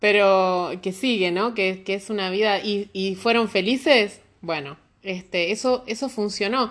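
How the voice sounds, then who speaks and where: At a fairly slow pace, a woman speaks in a Rioplatense accent against a quiet background. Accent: Argentine Spanish (rioplatense). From Argentina. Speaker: immigrant guest. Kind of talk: casual chat.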